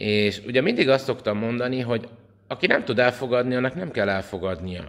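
His voice shows ordinary pitch variation as he talks. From Hungary. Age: 40s. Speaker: priest and vlogger; priest, vlogger. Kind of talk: opinion vlog monologue. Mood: indignant, earnest. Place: home room. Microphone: phone near.

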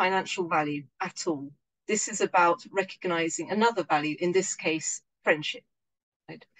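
In an English accent, a woman speaks at medium pitch and a moderate pace with ordinary pitch variation. Her loudness swings widely. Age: 50s. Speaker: local currency organiser. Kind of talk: online lecture with Q&A. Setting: video call. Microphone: video call.

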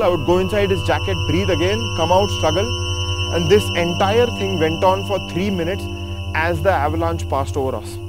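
A man at a fairly quick pace with ordinary pitch variation, in a dry sound with no echo and clear music in the background. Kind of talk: interview answer. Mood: somber, emotional retelling. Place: open country.

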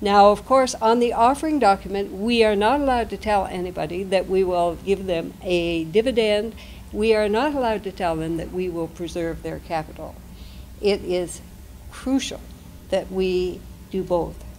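This woman talks at medium pitch and a moderate pace. Her pitch varies in an ordinary way, and the room echo can be heard. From Nova Scotia. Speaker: investment co-op founder presenter. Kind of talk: conference presentation.

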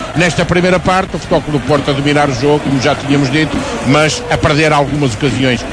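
Noticeable background noise beneath a man's voice with ordinary pitch variation. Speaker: radio football commentator (co-commentator/analyst). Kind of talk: live football radio commentary, calm analysis. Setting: radio broadcast from stadium. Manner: calm, measured, analytical.

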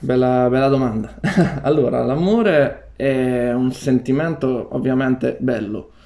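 The background is quiet. At a fairly slow pace, a man speaks with ordinary pitch variation. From Marche, Italy. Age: 20s. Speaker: university student and breakdancer; interviewee. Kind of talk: interview. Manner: hesitant. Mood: calm, shy, warm. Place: home room.

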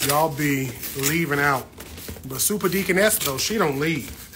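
A man talks at a moderate pace, his pitch varying in an ordinary way. Noticeable background noise is heard too. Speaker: plant livestreamer. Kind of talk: casual livestream chat. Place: home room. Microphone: phone near.

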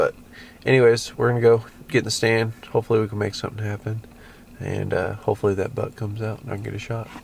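Over light background noise, a man talks very fast in a somewhat breathy, monotone, flat voice, and the sound is dry with no echo. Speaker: hunter vlogger. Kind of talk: casual vlog chat. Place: car. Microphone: phone near.

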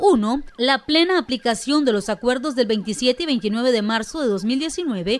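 Her high voice is full of lively intonation as the woman speaks at a fairly slow pace. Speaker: morning news host. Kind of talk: news presenting and interviewing. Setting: studio.

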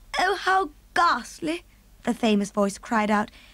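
The voice reads without strain. Its reading manner is unforced.

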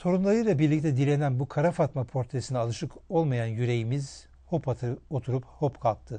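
Against a quiet background, a man with a fairly high pitch and a dark, mellow tone speaks somewhat breathily at a moderate pace, with ordinary pitch variation and hardly any pauses. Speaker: historian, TV presenter. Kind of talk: scripted narration. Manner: formal.

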